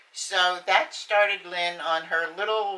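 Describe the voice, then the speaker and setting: Very slowly, a woman speaks at a medium pitch, her tone bright and sharp and her intonation fairly even. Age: 80s+. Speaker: retired county worker and parent. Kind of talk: personal testimony interview. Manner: halting.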